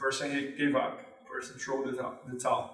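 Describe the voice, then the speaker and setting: A man speaks at a moderate pace with a Brazilian accent. Music plays in the background, and the room echo is audible. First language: Portuguese. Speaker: jiu-jitsu instructor. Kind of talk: tutorial. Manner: halting.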